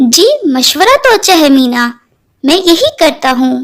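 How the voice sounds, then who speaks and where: Putting on a cartoonish character voice, a woman speaks at a moderate pace in a gentle tone, her high pitch swinging very widely. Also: very even loudness. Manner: gentle, earnest.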